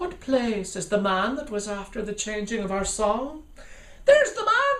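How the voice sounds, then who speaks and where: Over light background noise, a man does a put-on character voice at a high pitch and a moderate pace. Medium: read story. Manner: formal, grandiose.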